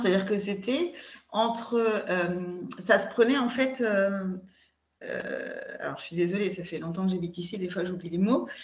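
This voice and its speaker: A woman's somewhat breathy voice at medium pitch, with lively intonation, a moderate pace, big swings in loudness and audible room echo. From France, Paris region. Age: 40s. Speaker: podcast guest. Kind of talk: casual chat. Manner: hesitant, many filler sounds.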